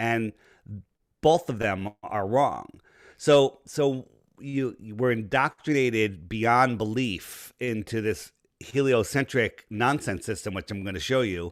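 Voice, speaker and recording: A man with a New York accent at a very slow pace, medium pitch and ordinary pitch variation, in a very clean recording with a silent background. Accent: East Coast, New York-like. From Connecticut, Fairfield County near New York City. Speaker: flat earth advocate, businessman. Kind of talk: podcast interview.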